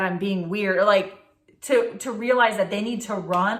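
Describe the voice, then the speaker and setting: A woman's animated tone with lively intonation at a fairly quick pace, with audible room echo. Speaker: lifestyle vlogger. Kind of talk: casual chat. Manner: fast.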